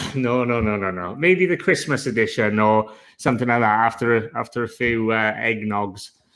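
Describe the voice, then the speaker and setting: The speaker has a strong Welsh accent. The recording is very clean, with a silent background. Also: man, medium pitch for a man, ordinary pitch variation. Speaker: online seller. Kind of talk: interview. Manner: deliberately slowed.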